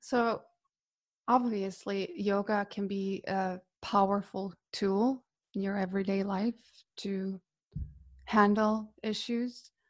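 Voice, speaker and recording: With a Croatian accent, a woman speaks at medium pitch in a monotone, flat way, at a very slow pace with long, frequent pauses, in a very clean recording with a silent background. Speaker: yoga teacher. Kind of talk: casual interview chat.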